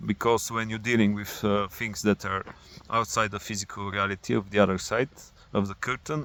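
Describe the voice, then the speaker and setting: A man with a non-native accent talks at a fairly quick pace in a fairly low pitch. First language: not English. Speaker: spiritual vlogger. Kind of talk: personal monologue. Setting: outdoors. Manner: halting.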